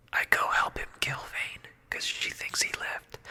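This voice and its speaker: A whispered voice, neither fast nor slow, with noticeable noise in the background. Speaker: ASMR gaming content creator. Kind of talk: casual gameplay commentary narration. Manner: whispered, soft-spoken.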